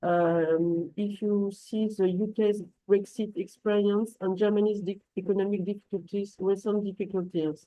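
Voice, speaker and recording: A woman's medium-pitched voice in a French accent, moderately paced, with hardly any pauses and flat, monotone intonation. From France. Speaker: translation company manager. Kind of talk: business webinar presentation. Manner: halting, many fillers and restarts.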